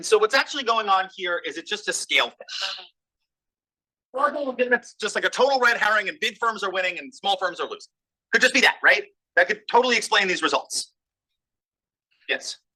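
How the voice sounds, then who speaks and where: Raising and projecting his voice, a man with a high pitch and a bright, sharp tone speaks at a fairly quick pace with ordinary pitch variation, big swings in loudness, and long, frequent pauses. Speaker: economist, business school professor. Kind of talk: research seminar talk with questions. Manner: fast.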